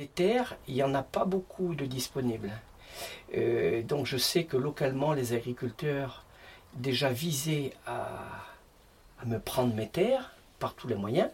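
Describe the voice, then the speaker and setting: A fairly high-pitched man at a very slow pace, with long, frequent pauses and ordinary pitch variation. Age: 50s. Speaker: stonemason. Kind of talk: casual interview.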